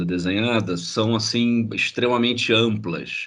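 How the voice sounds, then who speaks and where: A man speaks with a Carioca accent. His pace is fairly slow and his pitch variation ordinary. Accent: carioca (Rio de Janeiro) Brazilian Portuguese. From Brazil, Rio de Janeiro. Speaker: graphic designer and researcher. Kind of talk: online lecture. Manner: halting, repeats words.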